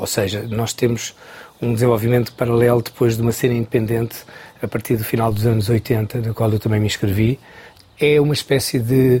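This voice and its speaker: Fairly even intonation at a moderate pace comes through noticeable background noise. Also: man. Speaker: choreographer. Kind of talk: interview.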